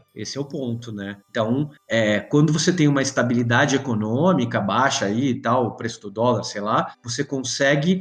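A man's voice moves at a moderate tempo while music plays in the background. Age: 40s. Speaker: comics editor and journalist. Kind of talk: casual chat. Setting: video call.

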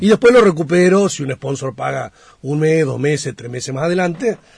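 A man with a somewhat breathy voice talks fairly quickly, his intonation lively. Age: 50s. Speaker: national congressman. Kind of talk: radio interview. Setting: radio studio.

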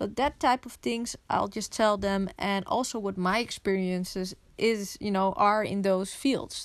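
On a very clean recording with a silent background, a woman with a Dutch accent speaks fairly slowly in a medium pitch with ordinary pitch variation. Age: 20s. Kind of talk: solo podcast monologue.

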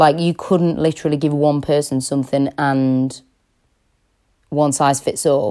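With a British accent, a woman speaks at a fairly slow pace in a very deep, low pitch and a dark, mellow tone, her intonation monotone and flat, with long, frequent pauses, in a very clean recording with a silent background. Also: very even loudness. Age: 20s. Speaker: fitness and nutrition coach podcaster. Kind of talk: personal monologue podcast. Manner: casual, hesitant with many fillers.

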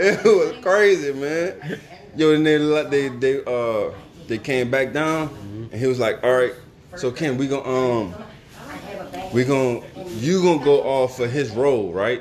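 Over noticeable background noise, a man speaks at a fairly slow pace in a fairly high pitch with lively intonation. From Louisiana. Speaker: podcast host. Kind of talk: casual chat.

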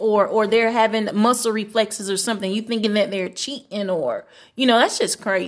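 A woman with an unremarkable speaking voice talks at a fairly quick pace and a fairly high pitch, in a very clean recording with a silent background. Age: 20s. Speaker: pastor's wife and community activist. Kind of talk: casual chat.

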